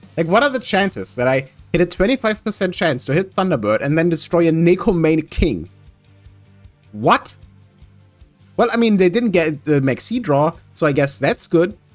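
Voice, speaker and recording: A man with a high pitch talks at a moderate pace, his voice making very wide pitch swings. Long, frequent pauses break up his speech while music plays in the background. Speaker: gaming commentator. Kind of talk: casual gameplay commentary.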